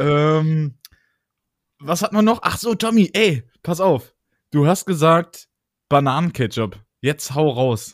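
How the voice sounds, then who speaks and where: A man with a fairly high voice speaks very slowly with lively intonation and long, frequent pauses, in a very clean recording with a dry, close sound, no echo and a silent background. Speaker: podcast co-host. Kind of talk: casual chat. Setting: recording from home. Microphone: new microphone.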